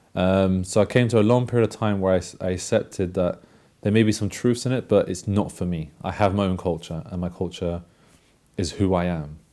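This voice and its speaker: This man has a London accent and a very deep, low pitch, with a dark, mellow tone. He talks at a fairly quick pace with fairly even intonation over a very clean recording and a silent background. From London, England. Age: 20s. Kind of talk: testimony. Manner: halting.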